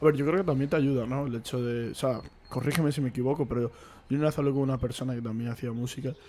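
With a dark, mellow tone, a man talks at a fairly high pitch and keeps his intonation fairly even. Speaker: podcast host. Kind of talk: casual chat. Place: home room. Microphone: studio mic.

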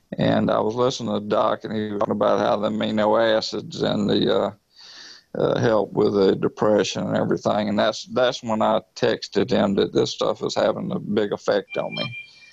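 Fairly quick speech from a man with a Southern US accent. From US South. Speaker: product user with PTSD. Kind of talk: testimonial. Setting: online call. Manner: halting.

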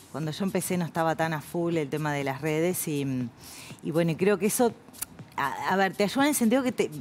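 Here is a woman with an ordinary speaking voice, fairly low in pitch and lively in intonation. She talks at a fairly quick pace over light background noise. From Uruguay. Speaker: journalist and professional announcer. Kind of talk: interview answer. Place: studio. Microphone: headset.

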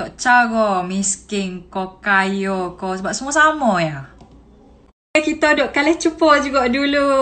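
A woman speaks at a fairly slow pace with a high pitch and lively intonation. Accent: Kelantan. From Kelantan, Malaysia. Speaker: TikTok creator. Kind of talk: casual Q&A talk to camera. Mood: cheerful, laughing. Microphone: phone near.

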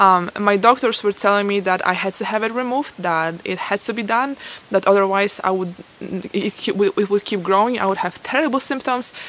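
Over light background noise, a woman talks at a moderate pace with ordinary pitch variation, the sound dry with no echo. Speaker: guest. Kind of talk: interview answer. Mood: calm, a little upbeat. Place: garden.

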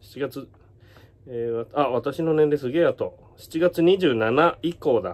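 This man has a fairly high pitch and lively intonation. His pace is very slow. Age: 40s. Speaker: YouTuber and entertainer; YouTuber. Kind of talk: casual vlog monologue. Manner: casual, mumbling asides. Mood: wry, amused complaint. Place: home room. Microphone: phone near.

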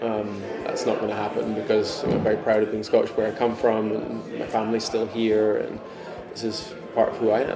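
Music plays in the background. A man speaks at a fairly quick pace. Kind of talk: interview answer. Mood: reflective, calm. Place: office.

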